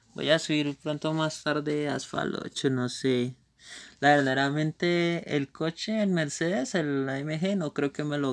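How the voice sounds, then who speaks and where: At a fairly slow pace, a man with a plain, everyday voice speaks at a fairly high pitch with ordinary pitch variation. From Colombia. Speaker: gaming streamer. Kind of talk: live gameplay commentary. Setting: live stream.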